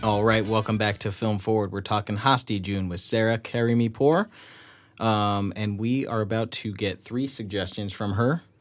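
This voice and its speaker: A man with a plain, everyday voice speaks at a moderate pace and fairly low pitch, with fairly even intonation, in a very clean recording with a silent background. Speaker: podcast host. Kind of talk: casual interview.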